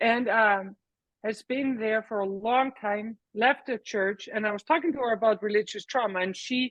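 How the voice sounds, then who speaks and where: A woman with an Icelandic accent talks at a moderate pace, her fairly high pitch showing ordinary variation. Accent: non-American, Icelandic. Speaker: workshop participant. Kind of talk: casual chat.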